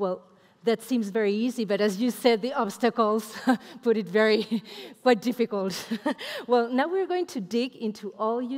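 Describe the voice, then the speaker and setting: A woman speaks in a normal speaking voice at a moderate pace. Her pitch is fairly high, and the background is quiet. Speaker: event moderator. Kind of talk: event moderation. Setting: stage with audience. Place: stage.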